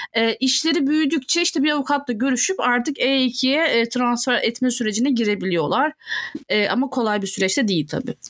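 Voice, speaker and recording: Noticeable background noise sits behind a woman's high-pitched voice. She speaks at a fairly quick pace with lively intonation. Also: very even loudness. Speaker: podcast co-host. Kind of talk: casual chat.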